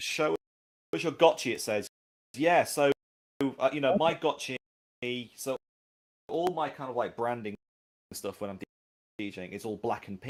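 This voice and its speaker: A strong Manchester accent with ordinary pitch variation. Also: man. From northern England, Manchester. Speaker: game industry professional. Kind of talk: community livestream chat. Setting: livestream.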